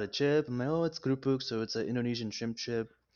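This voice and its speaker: A man with a medium-pitched voice is speaking. He goes at a very fast pace. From Los Angeles, California. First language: Spanish. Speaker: food stand owner. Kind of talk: casual interview.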